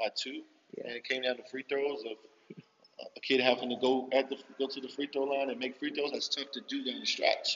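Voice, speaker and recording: Speaking with an American accent, a man talks at a fairly quick pace in a monotone, flat intonation. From US Northeast, Philadelphia. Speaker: high school basketball coach. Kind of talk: interview.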